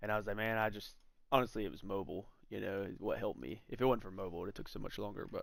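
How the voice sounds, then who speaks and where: Very fast and marked by vocal fry, a man's fairly low voice carries ordinary pitch variation. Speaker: gaming livestreamer. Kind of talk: live gameplay commentary. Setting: livestream. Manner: casual, filler-heavy.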